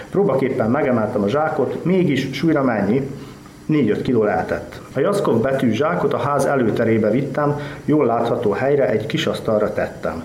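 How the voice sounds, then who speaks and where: A man's medium-pitched voice with lively intonation and very even loudness, at a moderate pace, with audible room echo and noticeable background noise. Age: young. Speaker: writer. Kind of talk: reading aloud.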